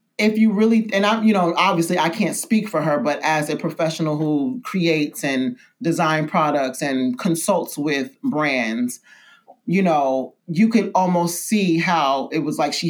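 Speaking with a New York accent, a woman keeps a moderate pace and lively intonation. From New York City (Brooklyn, Bed-Stuy). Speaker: skincare brand founder. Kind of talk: casual interview. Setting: spa studio.

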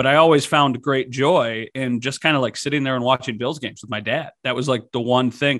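A man with an American accent and an unremarkable speaking voice, medium in pitch, fairly quick and fairly even in intonation, with hardly any pauses, over a quiet background. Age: 20s. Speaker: TV sports director. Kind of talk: casual sports podcast chat.

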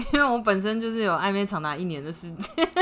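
A woman talks in an animated tone at a fairly quick pace. Her pitch is medium. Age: 30s. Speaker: podcast co-host. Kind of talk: casual chat. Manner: animated, frequent laughter.

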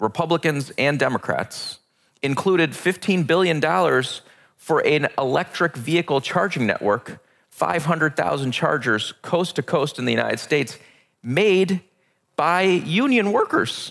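Over a silent background in a very clean recording, a man with a fairly high pitch and vocal fry speaks at a moderate pace, his intonation lively and his loudness very even. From Pakistan. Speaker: government climate advisor. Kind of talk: interview. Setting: live event recording at a summit.

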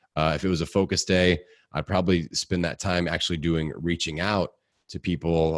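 Energetic and very fast, a man talks in a Midwestern accent with a very deep, low pitch and vocal fry. The background is quiet. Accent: Midwestern American, slight rural twang. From US Midwest, Indiana. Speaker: podcaster and fitness coach. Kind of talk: casual interview. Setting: home basement studio.

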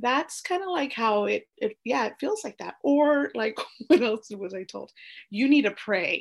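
With an American accent, a woman speaks at a fairly slow pace with a fairly high pitch and very wide pitch swings over a quiet background. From US, small town, Mexican American family. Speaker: interview guest sharing ADHD story. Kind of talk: casual interview. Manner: hesitant with fillers.

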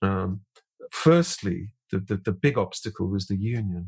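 At a fairly slow pace, a man speaks with a slightly husky edge.

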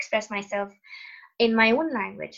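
A woman's fairly high voice with a non-native accent and ordinary pitch variation. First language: not English. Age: 30s. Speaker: podcast host. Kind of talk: casual interview conversation.

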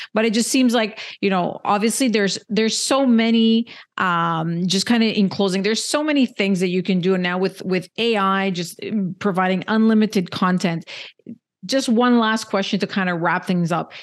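A woman with a Canadian accent talks at a moderate pace and medium pitch, with ordinary pitch variation. Her loudness stays very even over a quiet background. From Canada. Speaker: podcast host. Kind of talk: interview. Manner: halting, with frequent repetitions.

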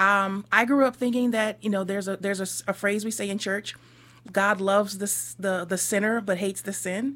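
Moderate pace and fairly even intonation from a woman at a medium pitch, in an ordinary speaking voice. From US Northeast. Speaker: minister. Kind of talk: radio interview.

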